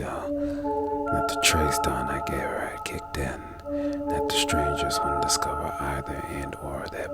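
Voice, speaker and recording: A woman talks at a fairly slow pace. Behind her, music plays in the background. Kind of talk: horror story narration. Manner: soft-spoken, ASMR-style.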